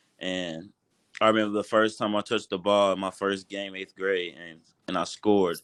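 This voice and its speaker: A man with an American accent speaks at a moderate pace in a fairly low, flat monotone, his loudness swinging widely against a quiet background. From Kentucky (Louisville, Shelbyville). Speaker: college football player. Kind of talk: interview.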